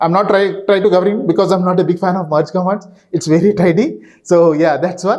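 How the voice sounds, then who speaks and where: A high-pitched man talking very fast with fairly even intonation. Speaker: database consultant. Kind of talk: conference talk. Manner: halting, many fillers.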